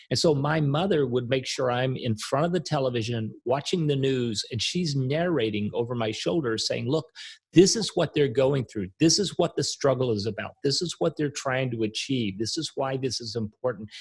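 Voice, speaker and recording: A man with an American accent speaks at a moderate pace with hardly any pauses. His medium-pitched voice is somewhat breathy, with ordinary pitch variation. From US South, Arkansas. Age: 60s. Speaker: author and coach. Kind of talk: podcast interview.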